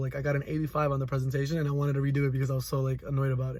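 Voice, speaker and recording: A man speaks in a fairly high, somewhat breathy voice. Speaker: college student. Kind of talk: reflective monologue. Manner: fast; halting.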